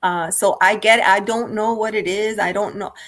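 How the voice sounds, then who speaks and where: The woman's intonation stays fairly even. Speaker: tarot reader and content creator. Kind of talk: interview. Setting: livestream. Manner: slow, deliberate pace.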